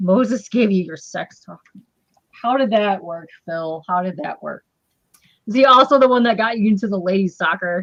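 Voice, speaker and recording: A woman with a Midwestern American accent speaks at a medium pitch and a moderate pace, her loudness swinging widely. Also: ordinary pitch variation. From Michigan. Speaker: interview show host. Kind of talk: casual chat.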